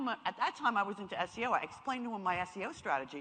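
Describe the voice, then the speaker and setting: A woman with a New York accent at medium pitch, animated in tone and lively in intonation, over noticeable background noise. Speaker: marketing speaker. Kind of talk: seminar talk.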